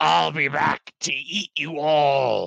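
A man's growling, raspy put-on character voice, fairly high in pitch. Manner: snarling, threatening.

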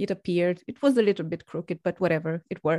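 In a non-native accent, a woman speaks at a fairly low pitch with ordinary pitch variation over a quiet background. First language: not English. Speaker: podcast host. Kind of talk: interview.

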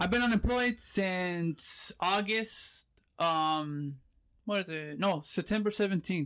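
A man's high voice with an American accent at a very slow pace, with ordinary pitch variation and a dry, close sound with no echo, in a very clean recording with a silent background. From Southern California, Pomona. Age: 30s. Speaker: online reseller. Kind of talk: casual chat.

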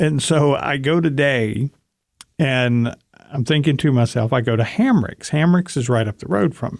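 A man has a normal speaking voice at a fairly high pitch, with ordinary pitch variation. He keeps a moderate pace, with big swings in loudness. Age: 40s. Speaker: weight loss podcast co-host. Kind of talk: casual chat.

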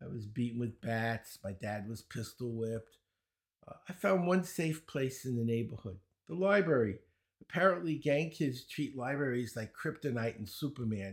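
With a Brooklyn accent, a man talks at a moderate pace using lively intonation. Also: medium pitch for a man, very clean recording, silent background. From US Northeast, Brooklyn, New York. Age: 70s. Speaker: speed reading and learning teacher. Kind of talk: interview conversation. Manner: animated, joking.

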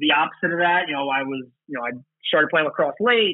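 At a very fast pace, a man talks at fairly high pitch. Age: 30s. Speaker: professional lacrosse player. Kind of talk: interview. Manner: casual, with many fillers.

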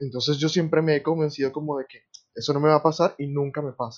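A man speaks in a normal speaking voice. His pitch is fairly high for a man, and his pace is fairly quick. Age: 20s. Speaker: university student, podcast guest. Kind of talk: casual chat.

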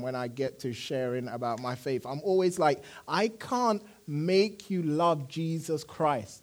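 Speaking fairly slowly in a normal speaking voice, a man pitched fairly high uses lively intonation. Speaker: preacher. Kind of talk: sermon. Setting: church.

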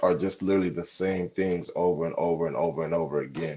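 Against a quiet background, a man with a dark, mellow tone talks at a fairly quick pace. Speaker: returning podcast guest and content creator. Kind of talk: casual chat. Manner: halting, many repeated words and fillers.

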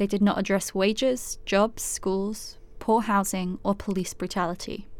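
In a very clean recording with a silent background, a woman uses an ordinary speaking voice at medium pitch with fairly even intonation. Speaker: podcast host/narrator. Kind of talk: scripted narration.

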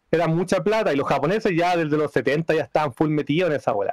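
A man with a Chilean accent speaks at a fairly high pitch with lively intonation. The sound is dry and close, with no echo. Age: 30s. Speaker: podcast guest, music fan. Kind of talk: casual chat. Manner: animated.

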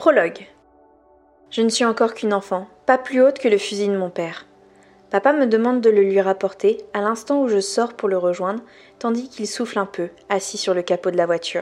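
The woman's voice sits at a medium pitch with ordinary pitch variation. She leaves long, frequent pauses. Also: fairly quick pace. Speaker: podcast host reading a novel aloud. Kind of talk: literary audiobook reading, intimate and dramatic, with character voices. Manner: casual, friendly, informal address to listener outside the reading.

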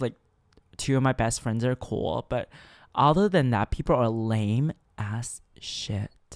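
Speaking at a very slow pace, a man with a Chinese accent is heard in a very clean recording with a silent background and a dry, close sound with no echo. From China. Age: 19. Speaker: podcast host. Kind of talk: casual monologue. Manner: halting, many fillers and stutters; animated.

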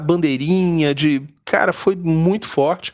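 Over noticeable background noise, a man talks at a very slow pace with fairly even intonation. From Brazil, Rio de Janeiro. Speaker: football fan. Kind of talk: personal storytelling. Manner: halting.

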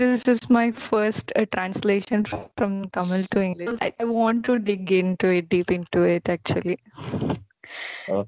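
A woman's ordinary speaking voice at a medium pitch and moderate pace, with ordinary pitch variation and a dry, close sound with no echo. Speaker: author and guest. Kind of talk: casual interview chat.

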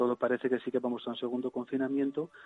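A man's medium-pitched voice comes across dry and close, with no echo. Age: 50s. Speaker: emergency physician. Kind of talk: radio interview. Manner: halting.

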